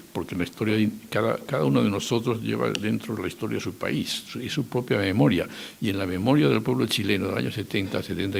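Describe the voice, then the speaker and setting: A man talks at a fairly quick pace. His fairly low voice carries vocal fry. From Spain. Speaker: former political adviser. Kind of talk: public talk. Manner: halting.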